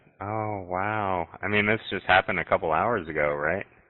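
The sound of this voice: The voice is a man's, pitched low. His pitch variation is ordinary. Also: moderate pace.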